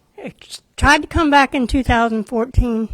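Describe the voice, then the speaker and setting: A high-pitched woman with a Southern US accent and ordinary pitch variation. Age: 60s. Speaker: adult education graduate. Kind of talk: testimony.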